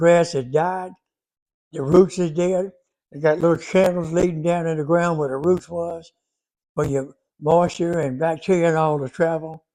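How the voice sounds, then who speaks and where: In a Southern US accent, a man speaks at a moderate pace with a high pitch, a dark, mellow tone and monotone, flat intonation over a quiet background. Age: 80s+. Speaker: gardening video creator. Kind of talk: casual Q&A advice talk. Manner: halting.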